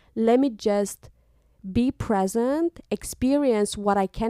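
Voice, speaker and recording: With a Romanian accent and a fairly high pitch, a woman speaks at a very slow pace with ordinary pitch variation. The sound is dry and close with no echo, in a very clean recording with a silent background. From Moldova. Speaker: podcast co-host. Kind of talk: casual chat. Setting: home recording.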